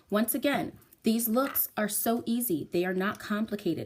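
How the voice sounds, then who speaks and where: Somewhat breathy, a woman speaks at a fairly high pitch and moderate pace with ordinary pitch variation. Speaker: makeup tutorial presenter. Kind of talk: tutorial.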